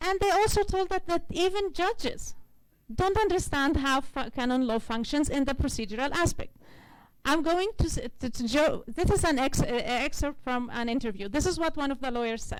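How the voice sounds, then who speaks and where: A woman's high voice with very wide pitch swings, moderate in pace, with audible room echo. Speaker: legal researcher presenting at conference. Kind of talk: conference presentation.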